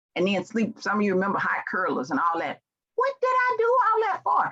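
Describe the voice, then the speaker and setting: This woman has an American accent. Her pitch moves across a very wide range. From US South, Memphis, Tennessee. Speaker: leadership trainer and speaker. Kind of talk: motivational keynote speech. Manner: animated.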